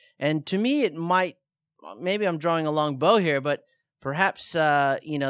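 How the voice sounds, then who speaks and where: This is a man talking. He has an Australian accent. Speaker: surf podcast host. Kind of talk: casual chat. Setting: studio.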